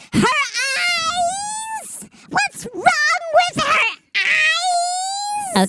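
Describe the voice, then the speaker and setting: A put-on character voice at an extremely high pitch. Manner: high, exaggerated, comic.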